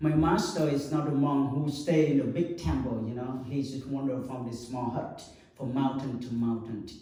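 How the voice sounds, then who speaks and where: A man with a Vietnamese accent at medium pitch and moderate pace, with fairly even intonation, audible room echo and noticeable background noise. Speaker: Buddhist monk. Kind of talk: dharma talk to an audience. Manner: halting, many fillers.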